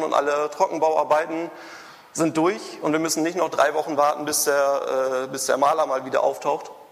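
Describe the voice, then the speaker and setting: Noticeable background noise behind a man's fairly high voice, fairly even in intonation and fairly quick in pace. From Germany, Münster (Westphalia). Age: 20s. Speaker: computer scientist and startup founder. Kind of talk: conference talk. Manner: halting, many fillers and restarts.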